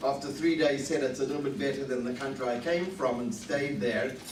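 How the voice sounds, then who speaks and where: Fairly high male voice with ordinary pitch variation, audible room echo and noticeable background noise. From Rhodesia (Zimbabwe). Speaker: professor. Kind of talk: lecture. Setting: lunch talk with audience at a synagogue.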